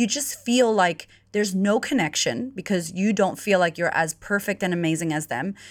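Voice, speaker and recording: With an American accent, a woman speaks at a moderate pace in a fairly low pitch with ordinary pitch variation, on a very clean recording with a silent background. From United States. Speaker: confidence coach. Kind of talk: casual interview chat. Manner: animated.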